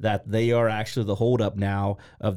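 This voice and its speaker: Recorded very cleanly with a silent background, a man with a Midwestern American accent speaks in a dark, mellow tone at a fairly low pitch with monotone, flat intonation. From Ohio, Columbus. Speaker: small business owner. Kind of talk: casual interview.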